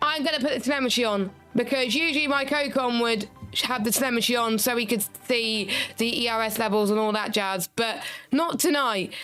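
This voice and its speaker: Speaking at a fairly quick pace with very even loudness, a woman with a fairly high pitch and ordinary pitch variation is heard over music in the background. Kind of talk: casual, chatty. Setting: live commentary stream.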